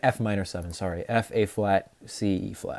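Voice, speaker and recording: A man's voice with ordinary pitch variation. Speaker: composer and music student streamer. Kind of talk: livestream explanation of own composition. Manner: fast; halting, self-correcting.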